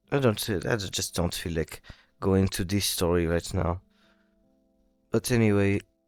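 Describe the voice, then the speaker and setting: A man speaks at a fairly slow pace with fairly even intonation and long, frequent pauses. Music plays behind the dry, close sound, which has no echo. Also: fairly low pitch for a man. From Brazil. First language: Portuguese. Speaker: vlogger. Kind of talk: casual vlog monologue. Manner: halting.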